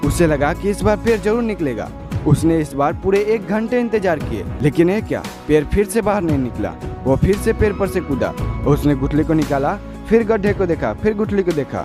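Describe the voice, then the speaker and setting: With music in the background, a man of fairly high pitch speaks at a moderate pace with lively intonation. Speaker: motivational speaker. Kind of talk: motivational speech.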